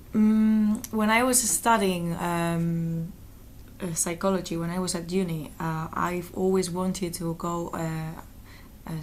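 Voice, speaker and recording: With a Spanish accent, a woman speaks fairly slowly at a fairly low pitch, and the room echo is audible. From Valencia, Spain. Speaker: interviewee. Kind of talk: interview. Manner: halting.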